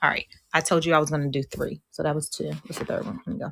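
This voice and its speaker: A woman with a very deep, low voice sounds animated, with ordinary pitch variation. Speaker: life coach and author. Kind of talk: live online coaching talk. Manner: fast.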